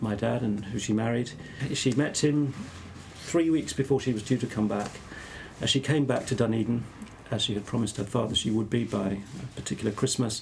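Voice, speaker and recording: Someone with a southern English accent speaks at a fairly quick pace with ordinary pitch variation. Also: man. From southern England (Exeter, Devon). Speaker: academic theologian. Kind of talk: interview conversation. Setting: podcast. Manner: halting.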